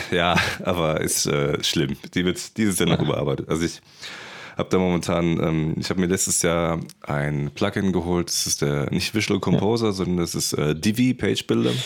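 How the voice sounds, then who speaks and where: Very deep, low pitch from a man, with vocal fry and ordinary pitch variation. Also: moderate pace. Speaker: podcast host for filmmakers. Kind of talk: casual interview.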